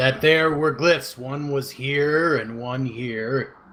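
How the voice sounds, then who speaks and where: Using a put-on character voice, a man speaks at a very slow pace with fairly even intonation. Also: medium pitch for a man. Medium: actual play. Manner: halting, earnest, slightly odd phrasing.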